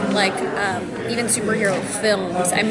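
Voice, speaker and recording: A woman speaks with crowd noise in the background. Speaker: voice actor. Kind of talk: interview answer. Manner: casual, upbeat.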